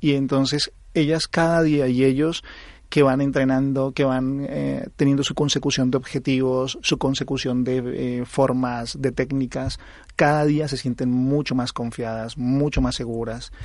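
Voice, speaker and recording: A man at a fairly slow pace and medium pitch, monotone and flat, against a quiet background. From Colombia. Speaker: aikido instructor. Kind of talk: interview.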